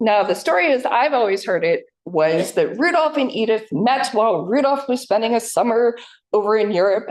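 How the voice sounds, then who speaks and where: With an American accent, a woman speaks in an unremarkable speaking voice at a moderate pace and fairly high pitch. Her intonation is lively while her loudness stays very even. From US Northeast, New Jersey. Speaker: historical society staff, former tour guide. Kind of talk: public history presentation.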